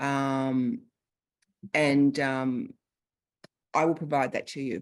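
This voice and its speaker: Speaking very slowly, a woman with an Australian accent has a very deep, low pitch. The background is quiet. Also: fairly even intonation. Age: 50s. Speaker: longevity coach. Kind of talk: Q&A after presentation.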